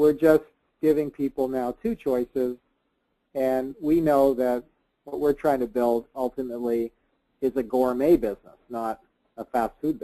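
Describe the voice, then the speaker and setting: A man with a Canadian accent speaks in a dark, mellow tone with fairly even intonation. Long, frequent pauses break up the dry, close sound with no echo. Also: medium pitch for a man, moderate pace. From Canada. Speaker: business coach and speaker. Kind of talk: webinar Q&A. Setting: webinar call.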